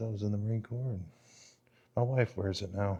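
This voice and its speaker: Soft-spoken and somewhat breathy, a man with a dark, mellow tone, fairly even intonation and a fairly quick pace. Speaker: vlogger and military veteran. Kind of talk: casual vlog narration. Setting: museum inside a library.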